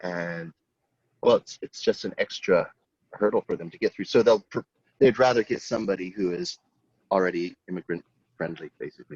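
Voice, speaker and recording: Talking at a fairly quick pace in an American accent, a man leaves long, frequent pauses and makes big swings in loudness, in a dry, close sound with no echo. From United States. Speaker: design teacher. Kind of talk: casual chat.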